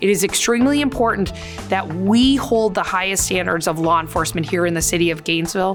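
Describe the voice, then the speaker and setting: The speaker's lively intonation moves at a fairly quick pace while music plays in the background. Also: woman. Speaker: chief inspector at a police department. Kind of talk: interview answer.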